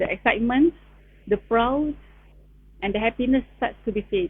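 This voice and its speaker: A woman with a Malaysian accent speaks at a high pitch. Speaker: town planner sharing PhD experience. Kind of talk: online talk, personal sharing. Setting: Facebook live stream. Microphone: sound issues on the live stream.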